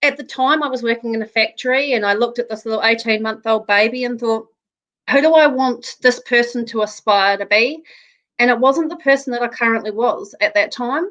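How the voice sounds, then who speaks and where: A woman with a New Zealand accent speaks at a high pitch and a moderate pace. Her tone is bright and sharp. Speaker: real estate agent. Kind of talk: interview.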